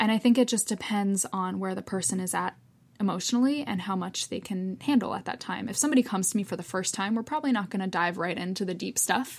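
Speech comes at a very fast pace with ordinary pitch variation. The voice is somewhat breathy. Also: woman, medium pitch for a woman. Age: 20s. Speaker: yoga therapist. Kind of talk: casual interview.

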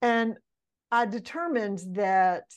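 A woman with a Mississippi accent speaks at a fairly high pitch against a quiet background. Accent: Southern US (Mississippi). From Mississippi, small town. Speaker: leadership mentor, former pastor's wife. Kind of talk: podcast interview. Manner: animated.

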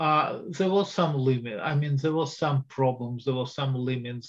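The voice has a Russian accent. It sounds somewhat breathy. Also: man. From Soviet Union (Russia). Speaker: historian and Russia expert. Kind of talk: interview.

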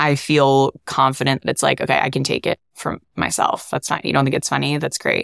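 A woman at a fairly quick pace, with hardly any pauses. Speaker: content creator. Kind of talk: casual interview chat.

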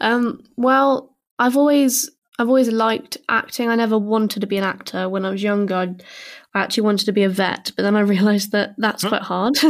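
On a very clean recording with a silent background, a woman with a British accent speaks at a fairly quick pace. Her voice is fairly high, with fairly even intonation. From southern England. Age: 20s. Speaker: actor. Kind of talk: casual chat.

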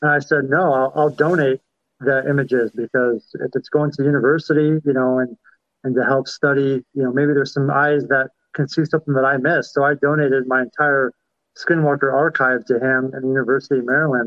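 In an American accent, a man speaks fairly quickly in a fairly high voice with monotone, flat intonation. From Kansas. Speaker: war veteran. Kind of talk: casual chat.

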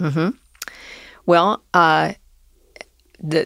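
A woman talks at a fairly slow pace with a Southern US accent. The recording is very clean and dry, close with no echo and a silent background. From US South. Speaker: business owner. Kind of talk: interview conversation.

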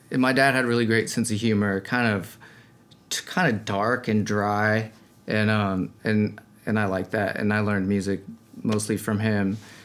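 A man with an American accent and a normal speaking voice, fairly low in pitch, at a moderate pace with fairly even intonation. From Colorado. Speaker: singer-songwriter. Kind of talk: casual chat.

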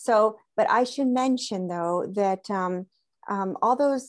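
A woman with an American accent, a plain, everyday voice, medium pitch and ordinary pitch variation, in a very clean recording with a silent background. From Southern California. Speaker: conservation biologist and aromatherapist. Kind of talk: interview conversation.

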